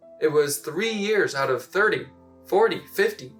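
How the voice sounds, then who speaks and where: Music plays behind a man who speaks at a very slow pace. His intonation is lively. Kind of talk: slam poetry performance.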